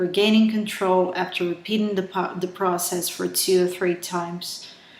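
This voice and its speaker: A woman speaks with a strong Brazilian accent and monotone, flat intonation. Noticeable background noise is present. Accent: heavy Brazilian Portuguese. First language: Portuguese. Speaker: author. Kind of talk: reading aloud. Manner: halting, with self-corrections.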